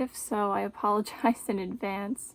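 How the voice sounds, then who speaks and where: A woman's fairly high voice with vocal fry and an American accent, in a dry, close sound with no echo. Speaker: beauty vlogger. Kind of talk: makeup tutorial. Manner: casual, filler-heavy.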